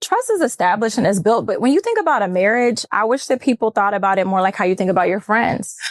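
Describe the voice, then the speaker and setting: Talking at a very fast pace, a woman has a fairly high pitch, lively intonation and very even loudness. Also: hardly any pauses. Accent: American. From Texas. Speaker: model. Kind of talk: casual chat.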